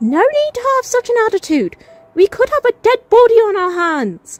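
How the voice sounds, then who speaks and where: Music plays in the background behind a put-on character voice. It is squeaky and extremely high, delivered at a moderate pace. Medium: audio drama. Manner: measured, formal.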